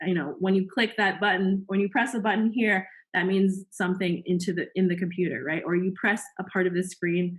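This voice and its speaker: A somewhat breathy woman at medium pitch talks at a fairly quick pace with hardly any pauses, very even loudness and fairly even intonation. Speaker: science workshop instructor. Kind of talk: lecture. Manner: fast.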